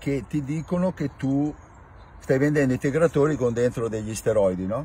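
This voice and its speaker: The man sounds somewhat breathy, with lively intonation and a dry sound with no echo. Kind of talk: casual explanatory rant. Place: car.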